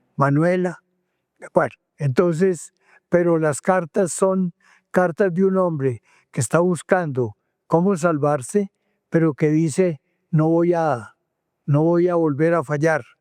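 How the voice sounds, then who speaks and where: Speaking very slowly with long, frequent pauses, a man with a high pitch, ordinary pitch variation and very even loudness is recorded dry and close with no echo on a very clean, silent track. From Antioquia, Colombia. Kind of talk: interview answer.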